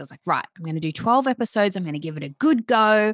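A woman with an Australian accent uses lively intonation in a dry, close sound with no echo, on a very clean recording with a silent background. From Australia, Melbourne. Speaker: life coach. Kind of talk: casual interview chat.

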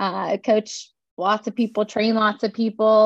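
With an American accent, a woman speaks in an unremarkable speaking voice. Her pitch is fairly high and her pace fairly slow. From southern Pennsylvania. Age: 30s. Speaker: fitness coach and ultrarunner. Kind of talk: casual chat.

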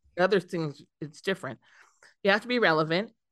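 This is a normal speaking voice at a fairly quick pace with ordinary pitch variation. The background is quiet. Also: woman. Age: 50s. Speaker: CEO of a PR agency. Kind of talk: casual interview.

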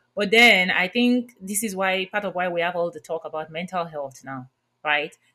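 In a Nigerian accent, the voice has a bright, sharp tone, ordinary pitch variation and a moderate pace. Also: woman, medium pitch for a woman. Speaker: podcast host, workplace inclusion consultant. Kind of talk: interview. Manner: warm, laughs often.

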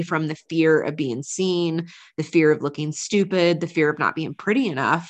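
With an American accent and an energetic tone, a woman speaks at a fairly low pitch and moderate pace against a quiet background. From US South, North Carolina. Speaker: business coach. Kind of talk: interview.

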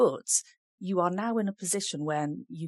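The woman's intonation is lively. The sound is dry and close with no echo, and the background is quiet. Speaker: podcast host and academic. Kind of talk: casual educational chat. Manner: informal, hesitant with fillers.

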